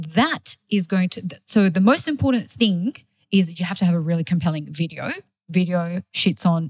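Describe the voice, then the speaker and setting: Speaking with an Australian accent, a woman with a fairly low, somewhat breathy voice talks at a moderate pace with ordinary pitch variation, in a dry, close sound with no echo. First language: not English. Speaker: food blogger and marketing agency owner. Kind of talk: interview.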